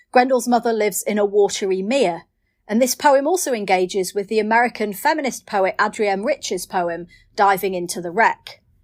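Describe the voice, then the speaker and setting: On a very clean recording with a silent background, a woman with a northern English accent and fairly high pitch talks at a moderate pace with ordinary pitch variation. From northern England. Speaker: poet. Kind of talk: poetry reading with introductions.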